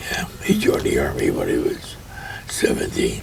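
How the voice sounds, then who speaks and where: A man whispers at a moderate pace, with noticeable background noise and audible room echo. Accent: American. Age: 80s+. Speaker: grandfather telling life stories, army veteran. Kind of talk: casual family interview.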